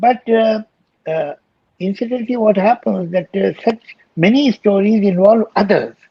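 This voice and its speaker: A man with an Indian accent talks at a moderate pace in a high voice with ordinary pitch variation. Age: 70s. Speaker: poet, lyricist and screenwriter. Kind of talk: interview answer.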